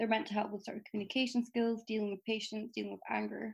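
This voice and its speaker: The speaker is a woman with an Edinburgh accent. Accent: Scottish (Edinburgh). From Scotland, Edinburgh. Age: 20s. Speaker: medical student. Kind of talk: casual interview.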